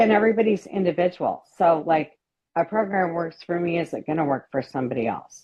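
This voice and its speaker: With an American accent, a woman speaks fairly quickly at a fairly low pitch with ordinary pitch variation. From Washington State. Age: 60s. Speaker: psychiatric nurse practitioner, coaching client. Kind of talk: interview testimony. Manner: halting.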